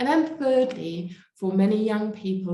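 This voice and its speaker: A woman's somewhat breathy voice has a dark, mellow tone, and audible room echo surrounds it. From Germany. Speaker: evangelist and speaker. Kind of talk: conference talk.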